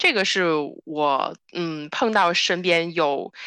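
Over a quiet background, a woman speaks at a fairly low pitch with a bright, sharp tone, the sound dry and close with no echo. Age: 20s. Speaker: podcast co-host, human geography PhD student. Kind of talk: casual chat.

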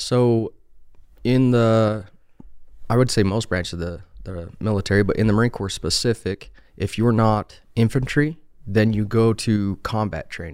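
With a Utah accent, a man talks at a fairly low pitch with ordinary pitch variation on a very clean recording with a silent background. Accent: Utah American. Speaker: HVAC technician, Marine veteran. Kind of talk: casual interview.

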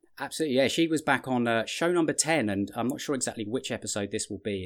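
Speaking at a very fast pace with hardly any pauses, a man at medium pitch shows ordinary pitch variation on a very clean recording with a silent background. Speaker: podcast host and business coach. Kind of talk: interview.

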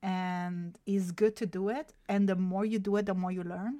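In an Italian accent, a woman speaks at a fairly slow pace with a dark, mellow tone. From southern Italy. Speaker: graphic designer. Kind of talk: interview. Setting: video call.

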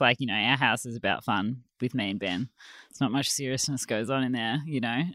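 In a very clean recording with a silent background, a woman with a very deep, low pitch speaks at a moderate pace with ordinary pitch variation. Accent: Australian. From Australia, Melbourne. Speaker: textile designer and business owner. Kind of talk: casual chat.

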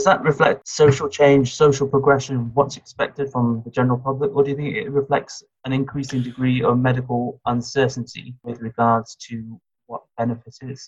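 This man's somewhat breathy, medium-pitched voice keeps a moderate pace and fairly even intonation. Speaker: interviewer. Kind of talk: interview questions.

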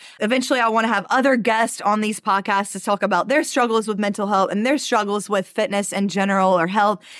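Barely pausing, a woman with an American accent races along at a very fast pace, her fairly high pitch held to fairly even intonation. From US South, Mobile, Alabama. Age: 20s. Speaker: fitness coach and podcast host. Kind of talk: solo podcast monologue.

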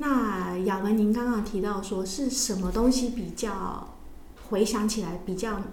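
A woman speaks at a fairly slow pace with fairly even intonation, amid audible room echo and noticeable background noise. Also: medium pitch for a woman. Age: 40s. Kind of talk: casual interview chat.

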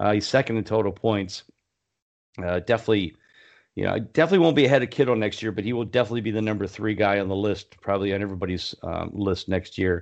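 At a very fast pace, a man speaks in a fairly low voice with ordinary pitch variation. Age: 50s. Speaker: fantasy football podcast host. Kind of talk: casual chat.

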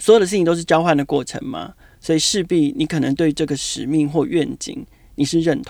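A man with a high pitch, lively intonation, big swings in loudness and a fairly quick pace. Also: very clean recording, silent background. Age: 40s. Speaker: marketing director. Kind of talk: interview. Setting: on location at his office.

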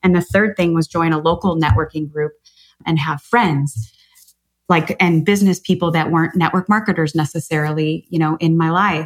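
A woman with an American accent and an unremarkable speaking voice, fairly low in pitch, at a moderate pace with ordinary pitch variation. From US Midwest, Chicago. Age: 40s. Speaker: author and business coach. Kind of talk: podcast interview.

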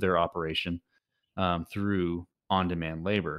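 Speaking with an American accent, a man has a very deep, low voice with ordinary pitch variation at a moderate pace. The sound is dry and close with no echo, over a quiet background. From Texas. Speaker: tech startup founder. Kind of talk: interview. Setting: remote call through a web browser. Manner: hesitant, many fillers and restarts.

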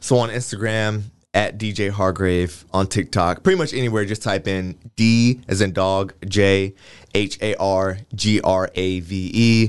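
A man's unremarkable speaking voice with an American accent, fairly low in pitch, at a fairly slow pace with fairly even intonation and a quiet background. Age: 20s. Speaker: fashion week organizer and clothing designer. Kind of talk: casual interview.

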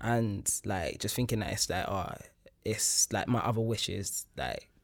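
Here a man talks at a moderate pace with a fairly low pitch. He has an ordinary speaking voice. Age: 20s. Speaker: academic and artist. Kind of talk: casual chat.

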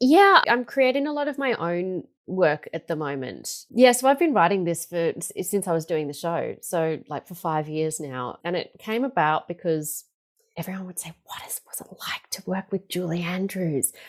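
A woman with an Australian accent, fairly low in pitch, with very wide pitch swings and big swings in loudness. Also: moderate pace. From Melbourne, Australia. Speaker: stage performer and singing teacher. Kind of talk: interview.

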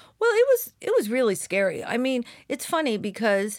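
On a very clean recording with a silent background, a woman speaks at a moderate pace with lively intonation. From Southern California, Orange County. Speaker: company founder. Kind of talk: interview. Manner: halting, many fillers.

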